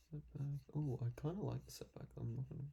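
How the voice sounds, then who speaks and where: The speaker mumbles quietly. The pace is moderate. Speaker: YouTuber doing CAD design tutorial. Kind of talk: live screen-recorded design session with commentary. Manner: mumbling.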